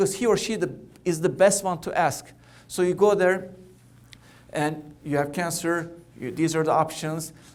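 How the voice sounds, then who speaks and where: In a Turkish accent, a man speaks with a high pitch and ordinary pitch variation. Room echo is audible. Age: 40s. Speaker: cancer doctor. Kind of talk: keynote talk. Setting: conference stage with audience. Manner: fast; halting with repetitions.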